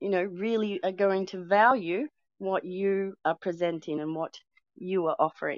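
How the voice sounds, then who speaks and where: A woman with an Australian accent speaks at a fairly slow pace, her medium pitch rising and falling in an ordinary way. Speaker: twin flame coach. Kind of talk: casual chat. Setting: online audio room.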